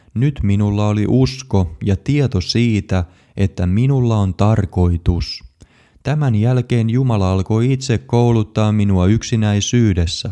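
A man's dark, mellow voice at a fairly low pitch, very slow in pace, very even in loudness, with ordinary pitch variation. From Finland. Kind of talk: personal testimony, scripted narration.

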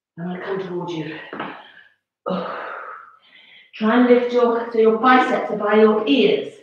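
Strong room echo follows a woman speaking at a fairly high pitch with long, frequent pauses. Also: ordinary pitch variation, fairly slow pace, big swings in loudness. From England. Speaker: fitness instructor. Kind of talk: live-streamed exercise class. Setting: home, live video. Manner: animated, encouraging; brisk, coaching cues. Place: home room. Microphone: camera far.

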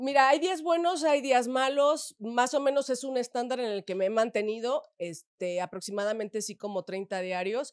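Against a quiet background, a woman with a high pitch talks at a moderate pace with hardly any pauses. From Mexico, León, Guanajuato; Guanajuato, Mexico. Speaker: adult content creator. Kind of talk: interview. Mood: relaxed, chatty, animated. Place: studio. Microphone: studio mic.

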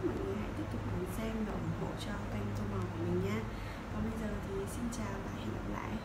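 A woman talks at a moderate pace. Loud noise fills the background. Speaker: coloring channel host. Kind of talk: casual vlog chat. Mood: friendly, upbeat. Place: home room.

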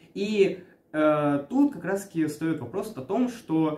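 A man's voice with audible room echo. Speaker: anime reviewer. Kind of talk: casual review vlog chat. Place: home room. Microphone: camera far.

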